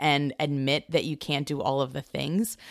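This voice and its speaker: The recording of this woman's voice is very clean, with a silent background. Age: 40s. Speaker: podcast co-host, business owner and mom. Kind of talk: casual chat.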